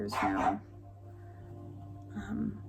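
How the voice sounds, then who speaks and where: A woman is speaking. She mumbles. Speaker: knitting podcaster and designer. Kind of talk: casual vlog chat. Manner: mumbling.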